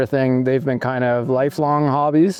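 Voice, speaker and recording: This man has a normal speaking voice with a fairly high pitch. He talks at a moderate pace with fairly even intonation. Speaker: interviewer, show host. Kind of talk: interview questions. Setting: outdoors.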